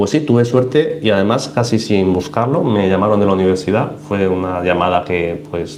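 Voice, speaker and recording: A man with a fairly low voice and lively intonation speaks with hardly any pauses, amid noticeable background noise and audible room echo. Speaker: aquarium YouTuber and researcher/teacher. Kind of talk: live stream Q&A. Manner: fast; animated.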